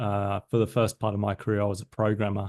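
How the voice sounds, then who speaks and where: A man with a slight British accent speaks at a medium pitch. The sound is dry and close, with no echo. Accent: slightly British. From south London, England. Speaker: business systems consultant, former tech manager. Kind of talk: podcast interview.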